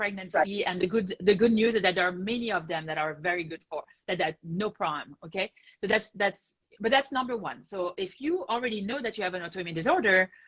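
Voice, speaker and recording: A woman speaks at a fairly quick pace with a French accent. Her pitch is medium, with ordinary variation. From France. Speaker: rheumatologist. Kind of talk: interview answer.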